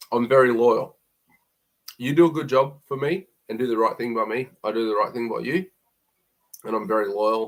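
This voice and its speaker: In a strong Queensland accent, a man talks at a moderate pace and a medium pitch. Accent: broad Queensland Australian. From Queensland, Australia. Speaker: plumber. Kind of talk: live stream Q&A. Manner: casual, hesitant with fillers.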